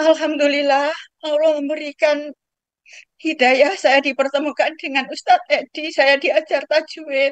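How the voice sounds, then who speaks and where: A woman speaks fairly slowly in a high, monotone voice with flat intonation and very even loudness, the sound dry and close with no echo. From Lombok, Indonesia. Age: 70s. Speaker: participant asking a question. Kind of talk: testimony.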